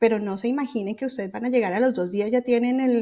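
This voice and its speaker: Her dark, mellow tone rides a fairly high pitch for a woman, with ordinary pitch variation. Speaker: journalist and writing workshop founder. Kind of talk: podcast interview. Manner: halting, many restarts and fillers.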